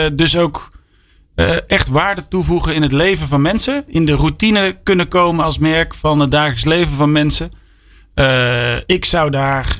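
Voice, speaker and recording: Here is a man with a plain, everyday voice and a fairly high pitch. He goes at a fairly slow pace, with ordinary pitch variation and very even loudness. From Brabant, Breda. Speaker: company CEO. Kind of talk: radio interview. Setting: studio.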